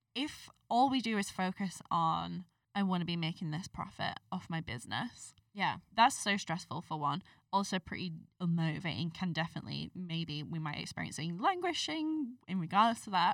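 A woman's fairly low voice at a moderate pace, lively in intonation, an unremarkable speaking voice. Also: very clean recording, silent background. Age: 20s. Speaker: mental health podcast host. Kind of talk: casual chat.

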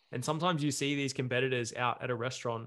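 The man talks at a very fast pace. Behind him the background is quiet. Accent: Australian. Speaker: bodybuilding podcast co-host. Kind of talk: casual chat. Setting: video call.

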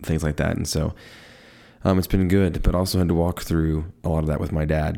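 The tone is dark and mellow, with a monotone, flat intonation throughout. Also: man. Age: 30s. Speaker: podcast host. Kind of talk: casual monologue on faith. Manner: rambling with frequent fillers.

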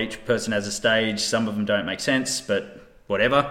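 In a plain, everyday voice, a man speaks at medium pitch with fairly even intonation. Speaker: podcaster. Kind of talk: casual chat.

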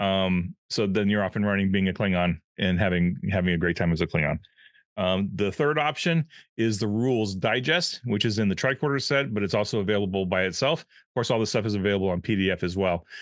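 Using an ordinary speaking voice, a man talks at a fairly low pitch with ordinary pitch variation. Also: fairly quick pace. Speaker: podcast co-host and game line editor. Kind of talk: casual chat.

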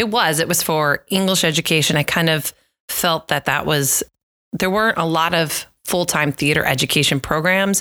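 Bright and sharp in tone, the voice moves at a moderate pace with ordinary pitch variation and very even loudness, in a very clean recording with a silent background and a dry, close sound with no echo. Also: woman, fairly low pitch for a woman. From US Midwest, Iowa (Des Moines). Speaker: theater teacher and director. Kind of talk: interview.

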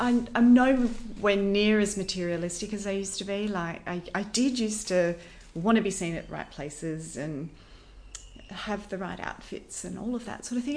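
Intonation rises and falls in a lively way. The accent is Australian. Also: woman. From Western Australia, Perth. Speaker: wellness educator. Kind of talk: interview. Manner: animated.

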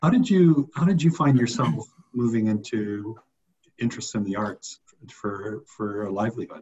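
The man's voice sits at a medium pitch and is somewhat breathy. He keeps a moderate pace with lively intonation. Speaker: podcast host. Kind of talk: casual interview.

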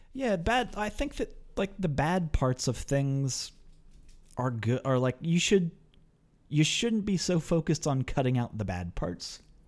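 Speaking at a fairly slow pace, a man with a fairly high pitch swings very widely in pitch on a very clean recording with a silent background. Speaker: podcast host. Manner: joking.

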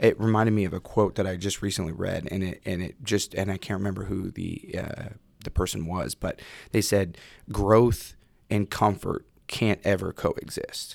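A man's fairly low voice with a West Coast accent, fairly even intonation and a moderate pace, on a very clean recording with a silent background. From Salem, Oregon. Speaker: former football player. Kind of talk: casual chat. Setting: studio.

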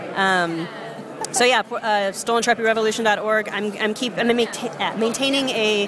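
Over noticeable background noise, a woman talks at a very slow pace with fairly even intonation. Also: fairly high pitch for a woman. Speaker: zine maker and button shop owner. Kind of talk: casual interview chat. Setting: zine fest table, indoor crowd.

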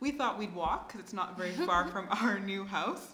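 A woman with a Canadian accent at medium pitch and ordinary pitch variation, with audible room echo and noticeable background noise. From Canada. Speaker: grant officer at a development foundation. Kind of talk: casual chat.

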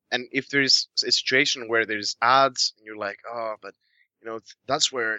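A man with an unremarkable speaking voice talks at a fairly quick pace and a medium pitch. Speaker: podcast guest. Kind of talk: casual chat. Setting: video call.

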